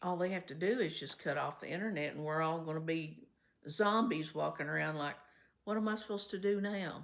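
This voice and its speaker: With a Kentucky accent, a woman speaks at a fairly quick pace in a fairly low pitch with ordinary pitch variation. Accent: Kentucky Southern US. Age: 70s. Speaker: vlogger. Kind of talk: casual vlog talk to viewers. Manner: chatty, conversational.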